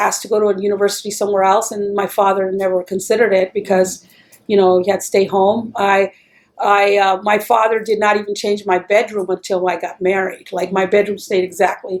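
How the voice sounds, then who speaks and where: A woman with a Texan accent, medium pitch, monotone, flat intonation and a moderate pace. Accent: Texan American English. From Texas, El Paso (border city). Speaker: interviewee. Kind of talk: oral history interview.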